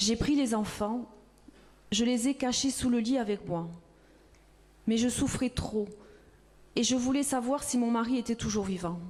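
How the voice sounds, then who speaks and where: A woman with a fairly high voice talks fairly slowly, leaving long, frequent pauses, and her pitch varies in an ordinary way. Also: very even loudness. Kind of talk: reading of a witness testimony.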